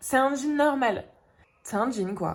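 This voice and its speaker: A woman's animated voice with lively intonation. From northern France, Dunkirk. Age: 20s. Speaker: vlogger. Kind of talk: casual vlog talk.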